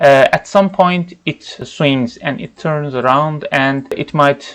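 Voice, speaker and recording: At a very slow pace, a man with a non-native accent speaks in a fairly high pitch. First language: not English. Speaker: trading educator. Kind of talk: tutorial. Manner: halting, with fillers.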